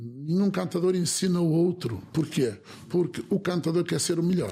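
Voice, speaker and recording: A man speaks at a moderate pace. His tone is dark and mellow and somewhat breathy. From northern Portugal, Alto Minho. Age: 60s. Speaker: folk improvisational singer and concertina player. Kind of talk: interview. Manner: halting, with repetitions.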